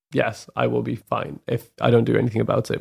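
An unremarkable speaking voice from a man, fairly low in pitch, at a moderate pace in a very clean recording with a silent background. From moved around young; from an Islamic country, later Canada. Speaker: renewable energy engineer. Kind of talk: casual chat.

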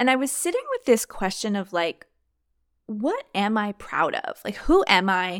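A woman talks at a fairly slow pace in an animated tone. Her pitch sits in the medium range. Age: 30s. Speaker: podcast host. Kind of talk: solo reflective monologue.

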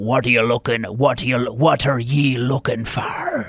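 A man puts on a raspy character voice at a medium pitch. His intonation is monotone and flat, his pace moderate. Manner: gruff, suspicious.

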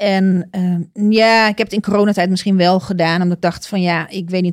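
In a normal speaking voice, a woman at a medium pitch talks at a moderate pace with fairly even intonation and hardly any pauses. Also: very clean recording, silent background. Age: 40s. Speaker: podcast guest on career break. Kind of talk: casual interview.

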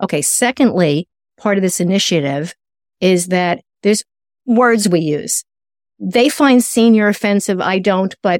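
An unremarkable speaking voice from a woman, medium in pitch and at a fairly slow pace, with ordinary pitch variation, a dry, close sound with no echo, and a very clean recording over a silent background. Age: 60s. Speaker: nutritionist and author. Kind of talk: interview.

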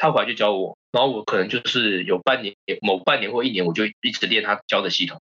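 Speech comes at a very fast pace in a Taiwanese accent, with ordinary pitch variation. The sound is dry and close, with no echo. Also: man, fairly low pitch for a man. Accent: Taiwanese Mandarin. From Taiwan, Keelung. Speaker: stage actor and theatre company director. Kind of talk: casual chat.

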